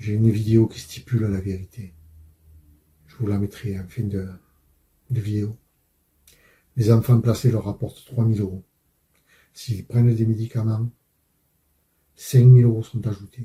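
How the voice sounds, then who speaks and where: A man speaks at medium pitch with a dark, mellow tone, somewhat breathy and in a monotone, flat intonation. His pace is fairly slow, with long, frequent pauses and big swings in loudness. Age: 60s. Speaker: father and truck driver. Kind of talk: testimony.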